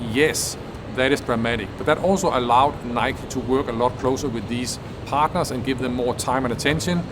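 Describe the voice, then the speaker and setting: Against music in the background, a man with a non-native accent speaks fairly quickly at a medium pitch with ordinary pitch variation. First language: not English. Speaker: business innovation video creator. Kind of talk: educational explainer.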